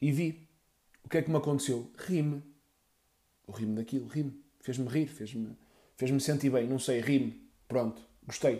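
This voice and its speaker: This voice has a dark, mellow tone, sounds somewhat breathy and moves at a moderate pace broken by long, frequent pauses. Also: man, medium pitch for a man. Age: 30s. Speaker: podcaster. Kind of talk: casual monologue. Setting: at home. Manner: animated.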